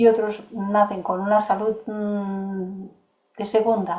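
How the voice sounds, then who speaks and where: A woman's voice at a medium pitch. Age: 70s. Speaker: course facilitator. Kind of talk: lecture with Q&A.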